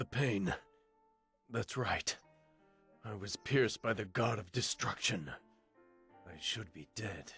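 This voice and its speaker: A man speaks in a put-on character voice at a medium pitch, moving at a fairly slow pace with long, frequent pauses while faint music plays in the background. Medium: video game. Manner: proud, intense.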